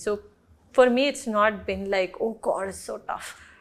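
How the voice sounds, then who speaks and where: A woman with a strong Telugu accent speaks at a moderate pace with ordinary pitch variation on a very clean recording with a silent background. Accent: non-native Telugu accent, thick. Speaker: film actress. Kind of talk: interview.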